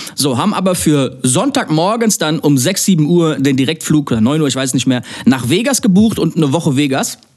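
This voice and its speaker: With an unremarkable speaking voice, a man talks at a fairly quick pace and a fairly high pitch, his intonation lively and his loudness very even. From Germany, near Mannheim. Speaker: DJ and music producer. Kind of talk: casual chat.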